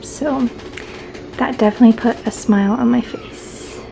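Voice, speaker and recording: Quiet speech over noticeable background noise. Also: woman. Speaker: vlogger. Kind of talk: casual vlog update.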